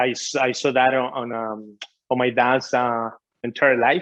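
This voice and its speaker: A man with a Spanish accent speaks at medium pitch. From Ecuador. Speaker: author and business coach. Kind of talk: interview.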